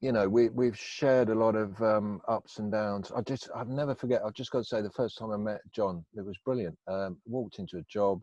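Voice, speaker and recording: Against a quiet background, a man with an English Midlands accent speaks at a fairly quick pace with hardly any pauses, using a fairly low voice with a dark, mellow tone and fairly even intonation, and the sound is dry and close with no echo. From England, Northampton. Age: 50s. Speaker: recovering addict telling life story. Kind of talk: interview. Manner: hesitant, many fillers.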